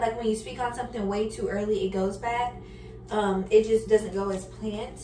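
Faint music sits in the background. Over it, a woman talks at a moderate speed. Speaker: lifestyle vlogger. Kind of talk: casual vlog chat. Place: kitchen. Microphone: camera far.

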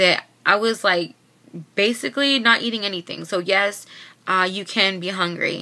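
Her tone bright and sharp, a woman speaks at a moderate pace with ordinary pitch variation. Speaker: vlogger sharing weight-loss surgery experience. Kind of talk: casual vlog chat. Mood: earnest, somewhat frustrated. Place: home room. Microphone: webcam.

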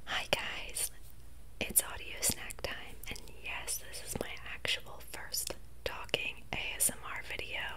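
A woman at a fairly slow pace, with long, frequent pauses and loud background noise. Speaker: ASMR mukbang creator. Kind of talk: ASMR talking video. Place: home room. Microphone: studio mic.

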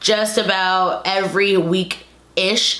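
Audible room echo surrounds a woman as she talks. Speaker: vlogger. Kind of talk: casual vlog commentary. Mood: opinionated, a bit indignant. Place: home room. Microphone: camera far.

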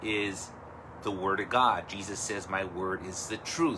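A man talks at a very slow pace over noticeable background noise. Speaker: pastor. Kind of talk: sermon. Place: home room. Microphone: phone near.

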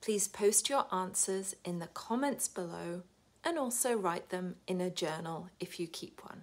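Speaking at a fairly slow pace with a British accent, a woman uses ordinary pitch variation. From United Kingdom. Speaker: wellbeing coach. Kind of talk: casual talk to camera. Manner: upbeat. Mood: warm and upbeat. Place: home room. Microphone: phone near.

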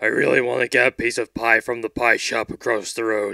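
A raspy male voice at medium pitch and a moderate pace. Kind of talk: comic overacting. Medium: comedy sketch. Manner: gruff heroic bravado turning to whiny pleading.

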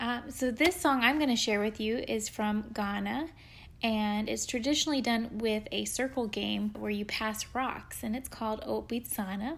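On a very clean recording with a silent background, a somewhat breathy woman with a fairly high voice speaks at a moderate pace with ordinary pitch variation. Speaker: music educator. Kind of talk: casual podcast chat.

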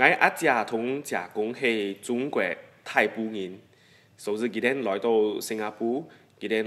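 A bright, sharp tone carries the voice. Its intonation remains fairly level. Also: man. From Singapore. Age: 20s. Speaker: interviewee. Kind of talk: personal reminiscence, interview answer. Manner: hesitant, many filler sounds. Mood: warm, nostalgic. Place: studio.

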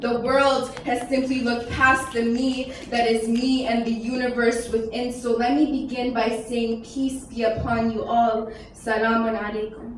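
A woman's high-pitched, flat, monotone voice with audible room echo and light background noise. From Iran. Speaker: spoken word poet. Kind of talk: spoken word poetry performance. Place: hall.

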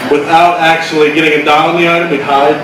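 A man talks at a very fast pace and a fairly high pitch, his intonation flat and monotone. Noticeable background noise and audible room echo surround him. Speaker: stand-up comedian. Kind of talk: nervous early open-mic stand-up set, observational Walmart jokes. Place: stage.

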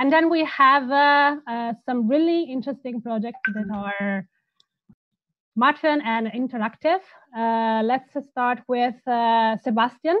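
With an Italian accent and a high pitch, a woman speaks at a very slow pace with ordinary pitch variation, the sound dry with no echo against a quiet background. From Italy. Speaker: panel moderator. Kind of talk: online panel discussion. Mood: friendly, smiling. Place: home room. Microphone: earbuds.

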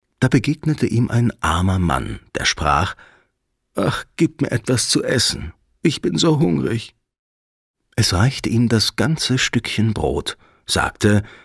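A man's gentle, soothing voice at a medium pitch, with vocal fry, very wide pitch swings, a very slow pace, long, frequent pauses, and a dry, close sound with no echo. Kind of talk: fairy tale audiobook narration. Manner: gentle, soothing, slow storyteller pacing.

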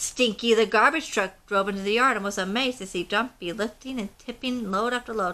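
What we hear is a natural reading voice.

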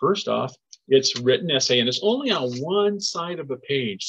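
A man with vocal fry speaks at a moderate pace with very wide pitch swings, the sound dry with no echo over a quiet background. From US, southern Oregon. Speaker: environmental educator. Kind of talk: educational webinar for children. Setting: recorded webinar in a shared room. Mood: friendly, encouraging. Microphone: webcam.

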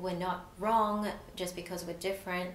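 A woman at medium pitch in an Australian accent, with audible room echo and light background noise. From Australia, partly raised in Malaysia. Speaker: provisional psychologist. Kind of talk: personal story interview. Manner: frequent fillers, hesitant. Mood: warm, reflective, smiling. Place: studio.

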